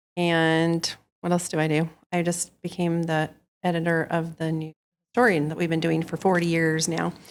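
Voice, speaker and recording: Her pitch is fairly low and her intonation monotone and flat. This woman talks at a moderate pace. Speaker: historical society board member, newsletter editor. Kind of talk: interviewer questions.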